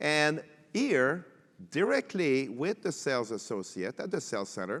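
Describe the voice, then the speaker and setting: A man's fairly high voice with a French Canadian accent, very wide pitch swings and vocal fry, in a dry, close sound with no echo. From Quebec. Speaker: tech panelist. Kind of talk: panel discussion. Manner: halting.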